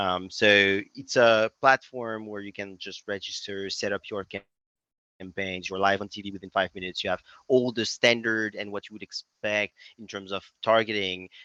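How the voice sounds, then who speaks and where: A man with a French accent speaks at a fairly low pitch in a bright, sharp, monotone, flat voice with big swings in loudness, the sound dry and close with no echo against a quiet background. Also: moderate pace. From France. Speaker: tech startup CEO. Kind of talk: podcast interview. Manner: hesitant, many fillers.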